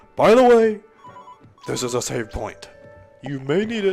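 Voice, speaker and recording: Over faint music in the background, a put-on character voice at a middle pitch swings very widely in pitch at a moderate pace. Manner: heroic, dramatic.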